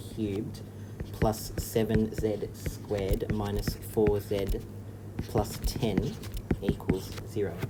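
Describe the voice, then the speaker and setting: An Australian man with a fairly low-pitched voice, with an Australian accent. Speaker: maths teacher. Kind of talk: tutorial.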